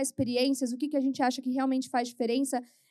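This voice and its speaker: On a very clean recording with a silent background, a woman talks very fast in a high voice. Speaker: HR executive at a bank. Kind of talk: panel talk. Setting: stage with audience. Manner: informal.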